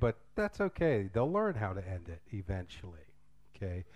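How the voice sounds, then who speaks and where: A man speaks loudly with an American accent. His pace is fairly slow. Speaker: English teacher and drama director. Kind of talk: conference workshop talk. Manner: casual.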